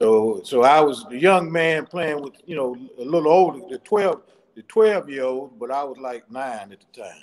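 A man talks at a moderate pace with lively intonation. His loudness swings widely. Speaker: guest. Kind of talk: interview answer. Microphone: video call.

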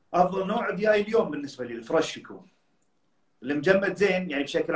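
Room echo is audible over a quiet background. A man speaks at a fairly quick pace. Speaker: professional bodybuilder and personal trainer; personal trainer. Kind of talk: casual interview. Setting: Instagram live video call. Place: home room. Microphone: phone near.

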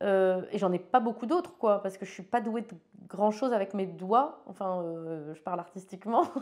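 Over a quiet background, a woman of medium pitch talks at a moderate pace with ordinary pitch variation and big swings in loudness. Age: 40s. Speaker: photographer; interviewee. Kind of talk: interview monologue. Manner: hesitant, many fillers and repeats. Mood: frank, cheerful, reflective. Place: studio.

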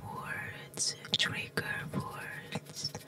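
The speaker, a woman, talks in a whisper. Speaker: ASMR artist. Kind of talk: ASMR trigger word repetition. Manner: whispered. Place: home room. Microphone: studio mic.

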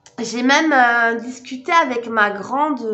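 Music plays in the background as a woman talks at a fairly high pitch, with audible room echo. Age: 30s. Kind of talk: casual vlog chat.

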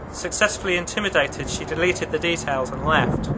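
A man with a high voice speaks at a fairly quick pace and with fairly even intonation over noticeable background noise. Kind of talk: true-crime documentary narration.

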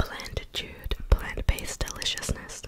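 Whispering and soft-spoken, a woman speaks at a very slow pace in a dry sound with no echo, with noticeable background noise present. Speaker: mukbang video creator. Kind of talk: casual vlog chat. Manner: soft close-mic whisper reading label. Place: home room. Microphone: studio mic.

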